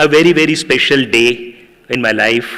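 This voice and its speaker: A man with a Tamil accent at a fairly slow pace, against noticeable background noise. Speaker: professor. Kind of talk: public speech.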